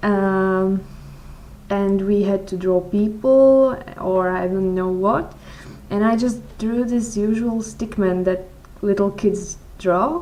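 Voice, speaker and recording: Amid noticeable background noise and audible room echo, a woman with a medium-pitched voice speaks at a very slow pace with fairly even intonation. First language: not English. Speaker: blogger answering follower questions. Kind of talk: casual Q&A vlog. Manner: halting, frequent repetitions and fillers.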